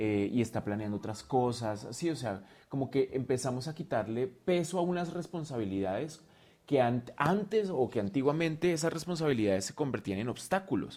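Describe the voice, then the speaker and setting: The speaker is a man with a dark, mellow tone. His intonation is lively. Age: 40s. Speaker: drag artist, dance teacher and dancer. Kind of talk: casual chat.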